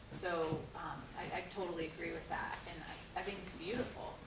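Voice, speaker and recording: Woman's voice with audible room echo and noticeable background noise. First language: Spanish. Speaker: audience member. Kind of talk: post-show talkback discussion. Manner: halting, repeats words.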